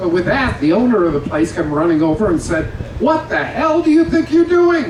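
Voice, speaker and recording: With audible room echo and noticeable background noise, a man speaks at a fairly quick pace in a high pitch, his pitch swinging very widely while his loudness stays very even. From Canada. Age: 80s+. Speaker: comedian. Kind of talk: stand-up. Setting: stage with audience.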